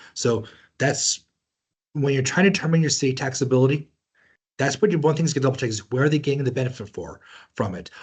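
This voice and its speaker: The voice is somewhat breathy, with ordinary pitch variation. It runs at a very fast pace yet leaves long, frequent pauses. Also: man, fairly high pitch for a man. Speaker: tax seminar presenter. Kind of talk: webinar lecture.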